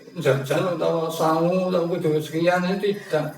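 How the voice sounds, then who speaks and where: A man with a high pitch speaks amid noticeable background noise and audible room echo. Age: 60s. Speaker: elderly farmer, interviewee. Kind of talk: counseling interview. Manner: halting.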